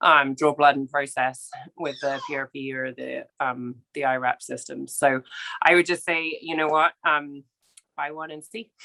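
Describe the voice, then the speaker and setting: Recorded with a dry, close sound and no echo, a woman with a very deep, low pitch speaks at a fairly slow pace, her intonation fairly even but her loudness swinging widely. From England. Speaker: equine veterinarian. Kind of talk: interview. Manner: hesitant, many fillers.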